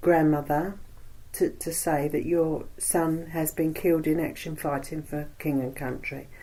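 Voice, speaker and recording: A woman speaks in a Cockney accent with a very deep, low pitch and a dark, mellow tone. Her intonation is monotone and flat, and her pace is fairly slow. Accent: East London Cockney. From East End of London. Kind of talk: oral history interview answer. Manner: chatty.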